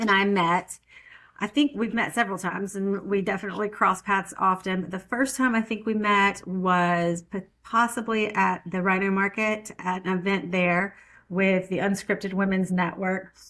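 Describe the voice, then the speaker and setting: A woman talks at a moderate pace with a bright, sharp tone. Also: medium pitch for a woman, fairly even intonation. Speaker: podcast host. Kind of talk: casual interview.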